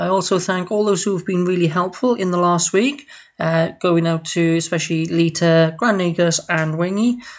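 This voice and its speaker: This woman talks at a medium pitch with a Welsh accent. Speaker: listener. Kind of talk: recorded audio message.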